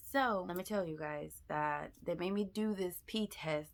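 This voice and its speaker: A woman is whispering. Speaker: vlogger. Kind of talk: casual vlog.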